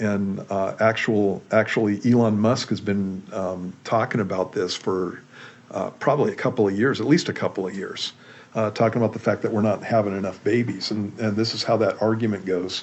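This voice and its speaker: A man with an American accent talks at a moderate pace in a fairly low pitch, keeping his intonation fairly even. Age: 60s. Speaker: pastor. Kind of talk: casual chat. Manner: halting.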